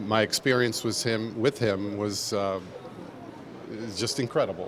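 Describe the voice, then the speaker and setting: A man with a New York accent at a moderate pace, over noticeable background noise. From New York City, Manhattan. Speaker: footwear designer. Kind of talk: interview. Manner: hesitant, many fillers.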